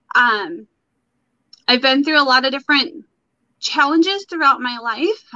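Using a raised, projected voice, a woman with an American accent speaks at a high pitch with lively intonation and a bright, sharp tone, pausing long and often. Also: moderate pace. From Michigan, US. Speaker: guest sharing her mental wellness story. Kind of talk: personal testimony in a casual interview. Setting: live video stream.

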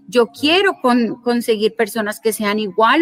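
Here is a woman with an unremarkable speaking voice at a fairly high pitch. She keeps a moderate pace with ordinary pitch variation. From Colombia. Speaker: lawyer and digital business and personal finance educator. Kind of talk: interview.

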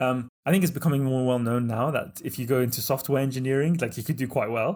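In a British accent, a man of medium pitch talks at a fairly quick pace with ordinary pitch variation, on a very clean recording with a silent background. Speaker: entrepreneur and author. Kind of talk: casual interview.

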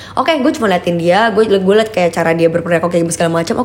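A woman talks at a very fast pace in an animated tone, at medium pitch with ordinary pitch variation. Noticeable background noise runs under her voice. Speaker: entrepreneur. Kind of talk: casual chat.

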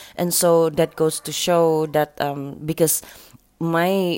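A woman with a Sabahan accent and a very deep, low pitch. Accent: Malaysian English with Sabahan Malay. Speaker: radio host. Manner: upbeat, conversational, laughing, friendly banter.

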